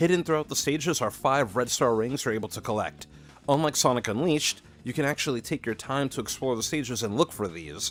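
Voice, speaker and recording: A man speaks at a fairly quick pace and medium pitch with lively intonation, music playing in the background. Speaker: gaming video creator. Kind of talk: scripted narration.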